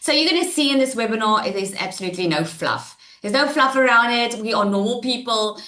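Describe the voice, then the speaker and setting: Over noticeable background noise, a woman with a fairly high voice talks very fast with lively intonation. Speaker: online business coach. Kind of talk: webinar presentation. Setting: live webinar, screen sharing. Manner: loud; animated.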